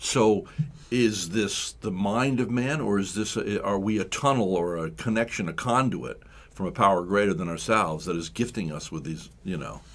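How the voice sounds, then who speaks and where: This man has an ordinary speaking voice, fairly low in pitch with ordinary pitch variation. He speaks at a moderate pace. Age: 60s. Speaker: radio host. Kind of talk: radio interview.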